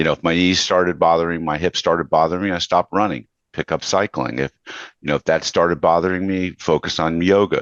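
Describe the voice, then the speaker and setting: A man with an American accent talks at a very fast pace. His very deep, low pitch sounds dry and close, with no echo. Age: 60s. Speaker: podcast host. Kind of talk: interview conversation.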